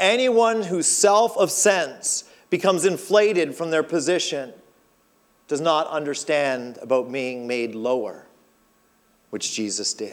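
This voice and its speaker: An animated man with a fairly high voice speaks at a fairly slow pace, leaving long, frequent pauses. His pitch swings very widely. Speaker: pastor. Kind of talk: sermon. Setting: church.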